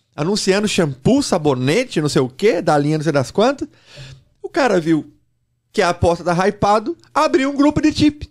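Against a quiet background, a man speaks at a high pitch with very wide pitch swings. His loudness stays very even and his pace is moderate. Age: 40s. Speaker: sports betting trader and educator; podcast guest. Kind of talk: podcast interview. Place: studio. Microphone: studio mic.

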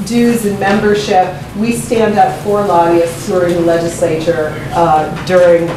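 A woman with a fairly low voice speaks at a moderate pace with fairly even intonation, her words carrying audible room echo over noticeable background noise. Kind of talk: public talk to audience. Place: meeting room. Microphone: camera far.

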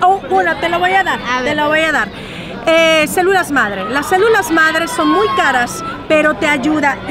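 At a moderate pace, a woman speaks in a dry sound with no echo, with noticeable background noise around her. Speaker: celebrity on red carpet. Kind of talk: casual interview. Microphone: phone near.

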